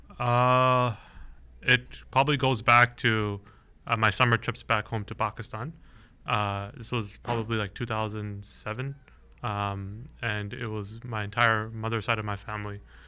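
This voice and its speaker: In a very clean recording with a silent background, a man with a plain, everyday voice speaks at a fairly low pitch and fairly slow pace with fairly even intonation. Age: 20s. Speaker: startup founder and CEO. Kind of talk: interview.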